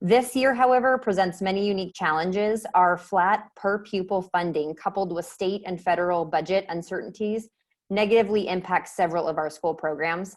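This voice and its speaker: The speech moves at a fairly quick pace with hardly any pauses and ordinary pitch variation, on a very clean recording with a silent background. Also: woman, medium pitch for a woman. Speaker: school foundation board member and parent. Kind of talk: fundraising presentation. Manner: fast.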